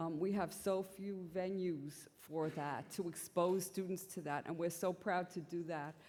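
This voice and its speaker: With a New York accent, a woman speaks fairly slowly in a fairly low, monotone voice, hardly pausing at all. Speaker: symposium chair, physician scientist. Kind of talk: conference introduction. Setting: conference symposium with audience.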